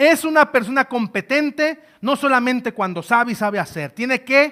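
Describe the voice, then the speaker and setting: Speaking fairly slowly in a raised, projected voice, a man sounds bright and sharp, with an extremely high pitch, lively intonation and an animated tone on a very clean recording with a silent background. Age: 20s. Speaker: trainer. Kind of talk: lecture.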